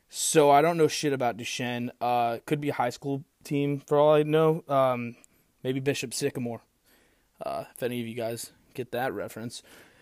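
At a moderate pace, a man with an American accent uses a normal speaking voice, fairly high in pitch with ordinary pitch variation. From St. Louis area, US Midwest. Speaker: sports podcast host. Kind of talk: casual sports picks monologue. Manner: casual, filler-heavy.

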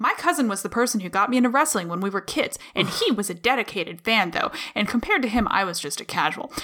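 With a playful tone and lively intonation, a fairly high-pitched woman talks at a very fast pace with hardly any pauses over noticeable background noise. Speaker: podcast co-host. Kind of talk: casual banter podcast. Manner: playful, joking.

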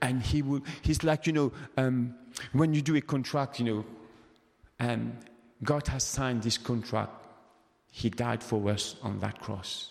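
In a Mauritian accent, a man speaks at a fairly slow pace with long, frequent pauses. His voice is medium in pitch, with ordinary pitch variation. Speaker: preacher. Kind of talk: sermon. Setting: church. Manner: halting, hesitant with fillers.

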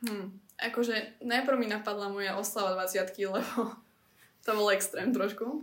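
A woman talks in an unremarkable speaking voice at a medium pitch. Her pace is fairly slow and her intonation fairly even. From central Slovakia. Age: 20s. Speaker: student and beauty pageant finalist. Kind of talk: casual chat.

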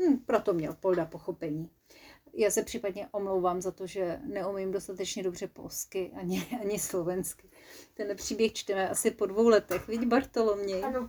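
This woman's voice has a dark, mellow tone, sitting at a medium pitch with ordinary variation. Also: moderate pace. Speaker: storyteller. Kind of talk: children's story narration. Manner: playful, animated, lively.

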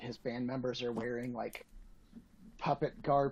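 A man with an American accent, an unremarkable speaking voice at medium pitch, and fairly even intonation. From Atlanta, US South. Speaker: podcast guest. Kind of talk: casual chat.

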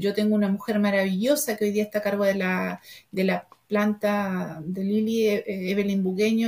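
At a moderate pace, a woman speaks with a medium pitch and a somewhat breathy sound. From Argentina, raised in Chile from age 12. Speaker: entrepreneur, confectionery business founder. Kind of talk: interview. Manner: halting, many repetitions.

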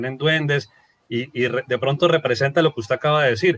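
This man has an unremarkable speaking voice with a fairly high pitch. He talks at a moderate pace with ordinary pitch variation. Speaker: podcast host. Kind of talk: interview.

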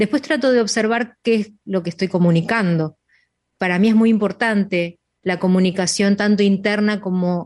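Over a quiet background, a woman speaks at a moderate pace with a medium pitch. She has a normal speaking voice and fairly even intonation. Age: 50s. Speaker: radio show host. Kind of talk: casual chat.

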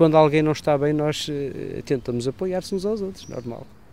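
A man speaks at a fairly high pitch with a dark, mellow tone. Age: 40s. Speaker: sound technician and journalist, amateur genealogist. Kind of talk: interview.

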